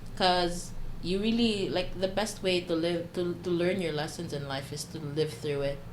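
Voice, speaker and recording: A woman speaks at a moderate pace with a fairly low pitch and ordinary pitch variation. Noticeable background noise and audible room echo are present. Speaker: podcast guest. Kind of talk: casual chat. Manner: loud.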